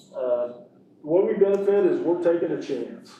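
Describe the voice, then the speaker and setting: A dark, mellow male voice with an American accent and audible room echo. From Kansas, Sumner County. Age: 60s. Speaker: construction management contractor. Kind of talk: presentation to school board. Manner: halting, many fillers.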